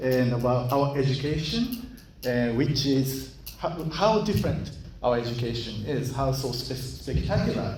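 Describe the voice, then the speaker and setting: A man speaks with a Japanese accent at a fairly slow pace. Audible room echo and noticeable background noise surround him. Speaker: school chief executive, guest lecturer. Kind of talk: lecture. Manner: halting.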